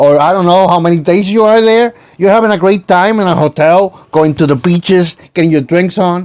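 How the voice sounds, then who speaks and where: Here a man speaks with a Puerto Rican accent. His voice is high and his pace fairly quick. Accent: Puerto Rican accent, sounds Mexican to him. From Puerto Rico. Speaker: YouTube reactor. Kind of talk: reaction commentary.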